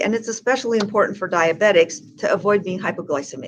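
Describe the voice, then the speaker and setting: A woman's plain, everyday voice, medium in pitch, fairly quick, with ordinary pitch variation. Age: 60s. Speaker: health educator. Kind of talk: interview.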